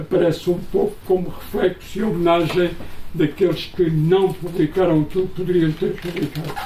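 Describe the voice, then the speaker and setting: A man talks at a moderate pace in a high, monotone, flat voice over noticeable background noise. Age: 70s. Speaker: author, retired teacher and school inspector. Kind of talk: book launch interview. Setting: book presentation with audience.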